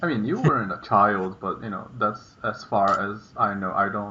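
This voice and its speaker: This man has a Portuguese accent and a fairly low pitch. He keeps a moderate pace with fairly even intonation. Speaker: vlogger. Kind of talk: casual chat. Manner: halting.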